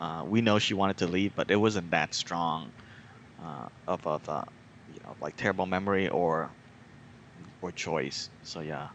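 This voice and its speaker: A man with a Vietnamese accent at a very deep, low pitch, with ordinary pitch variation, vocal fry, a moderate pace and long, frequent pauses. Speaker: podcast host. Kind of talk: casual chat. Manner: hesitant, many fillers.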